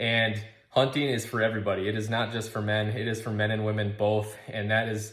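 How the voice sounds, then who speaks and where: A man talks at a medium pitch. Room echo is audible. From Minnesota. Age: 30s. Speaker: outdoors company founder. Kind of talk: recorded video message. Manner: halting, with many fillers.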